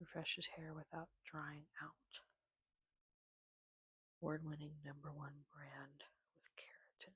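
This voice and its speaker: Whispering and soft-spoken, a woman with an American accent speaks in a relaxed tone at a fairly slow pace, with long, frequent pauses and big swings in loudness. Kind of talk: ASMR soft-spoken rambling. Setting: home, close microphone. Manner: soft-spoken, whispered, relaxed.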